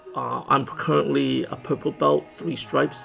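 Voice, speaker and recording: Music plays behind a man speaking at a moderate pace. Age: 50s. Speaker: martial arts instructor, MMA gym owner. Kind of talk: casual talk to camera.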